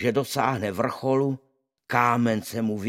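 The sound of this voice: The voice reads in an unforced reading voice with fairly even intonation over a quiet background.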